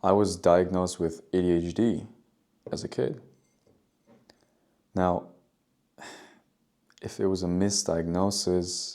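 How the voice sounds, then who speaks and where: With a non-native accent, a man speaks fairly slowly in a very deep, low pitch and a dark, mellow tone, his intonation fairly even and broken by long, frequent pauses. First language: not English. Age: 20s. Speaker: vlogger and barista. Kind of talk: casual monologue vlog. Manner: halting, many fillers and repeats.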